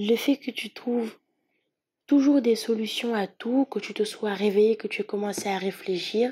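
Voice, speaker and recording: She talks at a moderate pace with a dark, mellow tone. The recording is very clean, with a silent background. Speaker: tarot reader. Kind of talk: tarot reading. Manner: animated.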